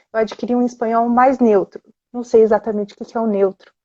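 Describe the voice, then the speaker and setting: A high-pitched woman's voice with a São Paulo accent. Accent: São Paulo Brazilian Portuguese. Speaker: Spanish teacher. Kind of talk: casual chat. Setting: Instagram livestream.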